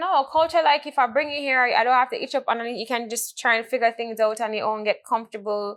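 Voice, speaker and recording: A woman with a Jamaican accent talks very fast at a fairly high pitch, her pitch varying an ordinary amount. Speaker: podcast host. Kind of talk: casual chat.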